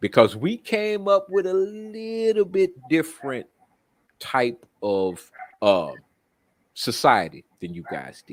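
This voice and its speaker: A man's very slow speech, swinging widely in loudness and very widely in pitch, broken by long, frequent pauses. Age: 60s. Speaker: caller on live stream. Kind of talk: casual discussion.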